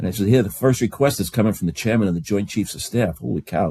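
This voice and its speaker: Fairly low in pitch with a dark, mellow tone, a man talks in a New York accent with lively intonation. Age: 70s. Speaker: bagpiper. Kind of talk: casual chat. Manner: halting.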